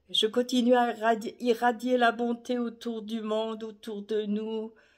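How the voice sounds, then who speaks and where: A woman speaks at a fairly high pitch. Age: 70s. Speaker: retired carer sharing holiday wishes. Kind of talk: casual video monologue.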